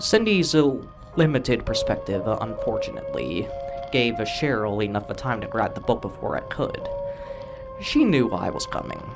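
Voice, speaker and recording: A man keeps a moderate pace as music runs in the background. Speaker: creepypasta narrator. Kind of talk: horror story narration.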